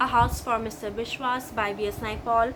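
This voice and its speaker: A fairly high-pitched woman with an Assam accent at a moderate pace, amid audible room echo. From India, Assam. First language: Assamese. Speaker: booktuber. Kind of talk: book haul video. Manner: enthusiastic.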